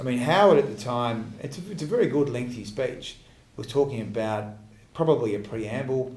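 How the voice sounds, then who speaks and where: A somewhat breathy man with an Australian accent, medium pitch and ordinary pitch variation, at a moderate pace with big swings in loudness and audible room echo. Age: 30s. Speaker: politician. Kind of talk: Q&A answer after a speech. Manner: halting, many fillers and restarts.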